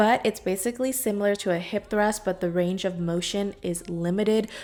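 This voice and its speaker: Noticeable background noise sits under speech at a moderate pace with fairly even intonation. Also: woman. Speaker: fitness vlogger. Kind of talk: workout vlog voiceover. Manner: casual.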